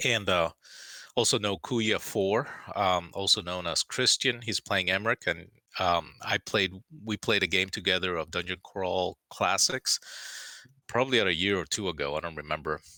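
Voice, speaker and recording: This man's voice is very deep and low, bright and sharp in tone, with ordinary pitch variation. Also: moderate pace, dry, close sound with no echo, very clean recording, silent background. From Miami, Cuban-American family. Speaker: game master. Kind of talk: casual chat. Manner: halting, many fillers.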